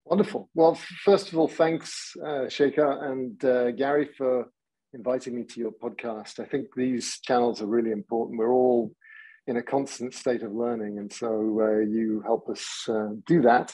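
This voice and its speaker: Speaking with an English accent, a man keeps to a medium pitch. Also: ordinary pitch variation, moderate pace. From England. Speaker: technology executive. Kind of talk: podcast interview.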